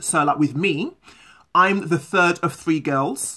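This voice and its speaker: A moderate pace in a London accent. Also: woman. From London, England. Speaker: vlogger. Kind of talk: casual vlog talk.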